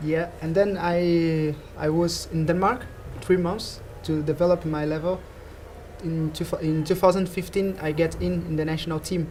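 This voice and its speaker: A man speaks in a high pitch with a Portuguese accent and a monotone, flat intonation. His pace is moderate, and there is noticeable background noise. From Brazil. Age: 20s. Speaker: badminton player. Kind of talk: interview. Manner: halting.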